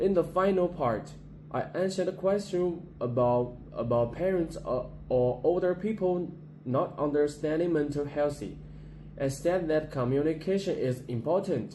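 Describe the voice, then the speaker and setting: A man with a Chinese accent talks at a fairly slow pace in a fairly high voice with ordinary pitch variation. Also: very even loudness. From China, Gansu Province. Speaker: university student. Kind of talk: class presentation. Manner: halting, with repetitions.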